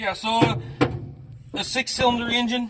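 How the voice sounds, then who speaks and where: A man talks loudly at a moderate pace. His intonation is lively. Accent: Southern US. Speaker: mechanic and channel host restoring an old truck. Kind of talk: hands-on tutorial with casual chat.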